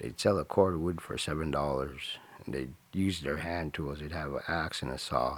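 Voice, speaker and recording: Amid noticeable background noise, a man with a very deep, low voice speaks at a moderate pace with fairly even intonation. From Alaska interior village. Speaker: village chief. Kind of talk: interview, storytelling.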